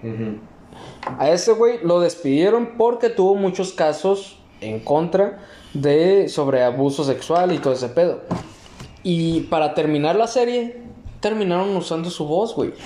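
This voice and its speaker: A high-pitched man with a Mexican accent, very wide pitch swings and noticeable background noise. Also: fairly slow pace. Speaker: podcast host. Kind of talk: casual chat.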